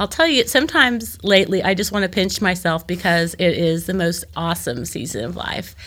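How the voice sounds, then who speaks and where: A woman with an American accent and medium pitch speaks at a fairly quick pace with hardly any pauses. Her intonation is lively, with vocal fry. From US Midwest, Joplin, Missouri. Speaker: church discussion leader. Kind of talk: casual interview. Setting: studio.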